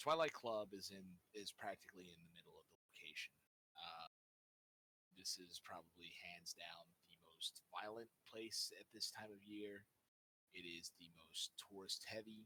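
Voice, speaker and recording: A man puts on a character voice. He speaks at a moderate pace in a fairly low pitch. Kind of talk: gothic horror narration. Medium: actual play. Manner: casual, descriptive.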